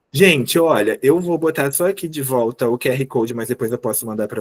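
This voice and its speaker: The recording is dry and close, with no echo. A man speaks in a plain, everyday voice at a medium pitch, moderate pace and ordinary pitch variation. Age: 30s. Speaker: teacher. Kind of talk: online lecture.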